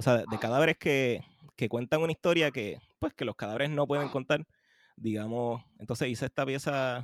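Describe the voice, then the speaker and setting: On a very clean recording with a silent background, a man speaks in an ordinary speaking voice at medium pitch, with fairly even intonation and a fairly quick pace. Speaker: composer. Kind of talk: casual chat.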